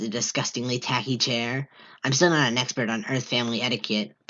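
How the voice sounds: What you hear is a natural reading voice.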